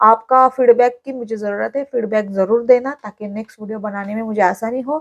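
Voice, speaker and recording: A woman speaks at a moderate pace and a fairly high pitch, with hardly any pauses and fairly even intonation. Her loudness swings widely, and the sound is dry and close with no echo. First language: Marathi (speaking Hindi). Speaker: vlogger. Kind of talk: vlog tutorial. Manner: hesitant fillers.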